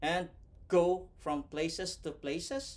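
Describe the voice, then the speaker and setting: Speaking at a very slow pace with a non-native accent, the man has a high pitch and very wide pitch swings. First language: not English. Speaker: vlogger and overseas worker. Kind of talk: motivational tutorial. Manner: scripted, careful delivery.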